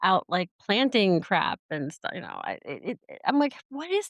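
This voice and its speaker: Against a quiet background, a woman with a plain, everyday voice speaks at a moderate pace and medium pitch, the sound dry and close with no echo. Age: 40s. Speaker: podcast host. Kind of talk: casual chat. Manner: rambling with many fillers.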